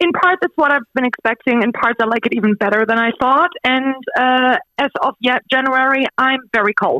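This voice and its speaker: A speaker with a German accent talks at a moderate pace. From Germany. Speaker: stand-up comedian. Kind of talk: radio interview.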